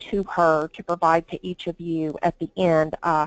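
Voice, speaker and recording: A woman with a strong Southern US accent speaks at a fairly slow pace, the sound dry and close with no echo. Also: quiet background. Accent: strong Southern drawl. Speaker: HR recruiter. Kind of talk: webinar presentation.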